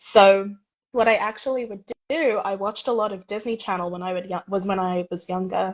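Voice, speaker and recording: Pitch moves in an ordinary way. The delivery runs fairly quick. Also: woman, medium pitch for a woman. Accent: American. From England, Watford. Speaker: university student. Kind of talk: interview.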